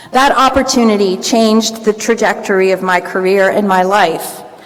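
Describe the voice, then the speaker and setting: Over noticeable background noise, a woman with an American accent speaks at a moderate pace and a fairly high pitch, with ordinary pitch variation. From Florida, US. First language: Greek. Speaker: commencement speaker. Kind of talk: commencement speech. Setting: field house with audience.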